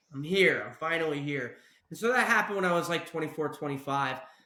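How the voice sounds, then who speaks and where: Audible room echo surrounds a man with a fairly high pitch. He talks at a fairly quick pace, with big swings in loudness. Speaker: podcast host. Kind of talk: casual podcast conversation.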